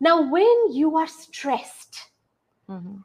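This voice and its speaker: A woman with an Indian accent speaks with lively intonation. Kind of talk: interview.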